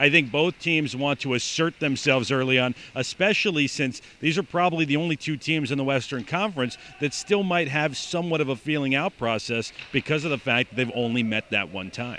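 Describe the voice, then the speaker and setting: Noticeable background noise sits behind a man whose fairly high pitch and ordinary pitch variation move at a fairly quick pace with hardly any pauses. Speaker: hockey play-by-play announcer. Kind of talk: interview answer.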